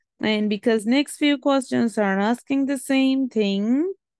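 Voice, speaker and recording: A woman with a non-native accent speaks at a high pitch with ordinary variation against a quiet background. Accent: non-native English pronunciation. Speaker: maths teacher. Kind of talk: tutorial.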